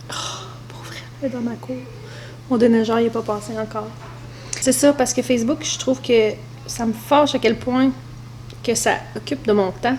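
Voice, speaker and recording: The speaker talks at a moderate pace in a Quebec accent. Noticeable background noise runs behind the voice. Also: woman. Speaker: mother vlogger. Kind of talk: casual talk to camera.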